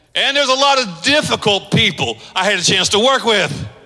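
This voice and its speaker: A man with an animated tone, amid noticeable background noise. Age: 50s. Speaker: pastor. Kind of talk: sermon.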